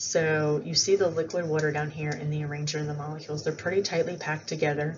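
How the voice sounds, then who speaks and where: Speaking very fast, a woman has a very deep, low pitch and a monotone, flat intonation. Audible room echo is present. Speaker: biology teacher. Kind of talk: lecture. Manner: casual with fillers.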